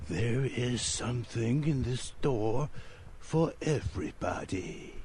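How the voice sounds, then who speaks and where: A put-on character voice moves at a fairly slow pace over clear background noise. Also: man, medium pitch for a man. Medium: video game. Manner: slow, cryptic, unsettling.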